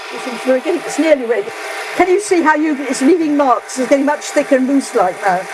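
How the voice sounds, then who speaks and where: Over noticeable background noise, a woman talks very fast in a high voice with lively intonation. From England. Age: 90s. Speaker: retired English teacher. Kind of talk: casual interview while cooking. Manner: halting, many restarts.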